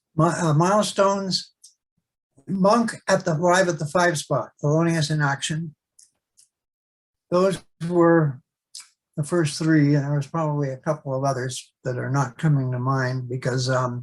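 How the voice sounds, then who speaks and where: A man with a Canadian accent, somewhat breathy and fairly high-pitched, talking at a fairly slow pace with ordinary pitch variation and long, frequent pauses. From Canada. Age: 70s. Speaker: jazz guitarist. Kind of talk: interview.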